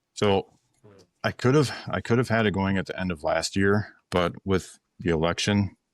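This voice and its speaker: The speech moves at a moderate pace with ordinary pitch variation. The sound is dry and close with no echo, on a very clean recording with a silent background. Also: man, fairly low pitch for a man. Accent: Upper Midwest US. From western Wisconsin. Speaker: ammunition company founder. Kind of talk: casual podcast interview. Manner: halting, repetitive.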